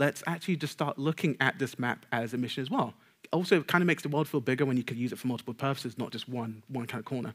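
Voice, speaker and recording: In a London accent, a man talks at a very fast pace with ordinary pitch variation against a quiet background. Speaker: technical game designer; conference speaker. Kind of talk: conference talk. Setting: stage with audience. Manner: stutter, pauses; fast talker. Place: stage.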